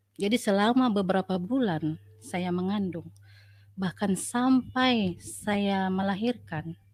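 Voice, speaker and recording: The woman's voice is somewhat breathy, with ordinary pitch variation. She speaks at a very slow pace. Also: medium pitch for a woman. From North Sumatra, Asahan. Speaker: nurse. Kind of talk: testimony.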